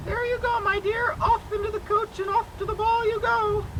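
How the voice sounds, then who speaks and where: A squeaky put-on character voice at a moderate pace, over clear background noise. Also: female-sounding voice, extremely high pitch for a woman. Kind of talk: school stage play. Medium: stage play. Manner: warm, motherly, addresses her as "my dear".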